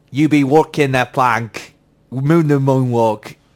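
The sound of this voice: A man puts on a robotic character voice in a West Country accent, pitched at a medium level. He speaks at a very slow pace.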